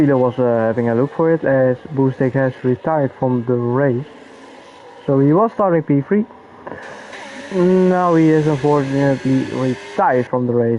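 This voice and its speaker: A man's medium-pitched voice with a non-native accent over noticeable background noise. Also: ordinary pitch variation, moderate pace, very even loudness. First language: not English. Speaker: sim racing commentator. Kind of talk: live commentary. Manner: casual.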